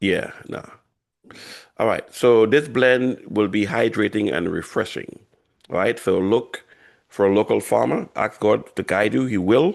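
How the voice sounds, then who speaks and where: A man with a fairly low voice and vocal fry talks at a fairly slow pace, with ordinary pitch variation. Long pauses come often. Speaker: health educator. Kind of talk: guided breathing exercise; workshop.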